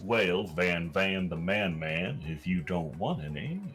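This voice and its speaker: A man puts on a character voice that is very deep and low, with ordinary pitch variation at a fairly slow pace. Clear music plays in the background. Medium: game stream. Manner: slangy, sarcastic.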